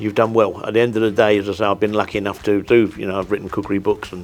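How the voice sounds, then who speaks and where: Over music in the background, a man with a London accent talks very fast in a fairly low, monotone voice with flat intonation. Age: 60s. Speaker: chef. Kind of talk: interview. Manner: halting, with many repeated words.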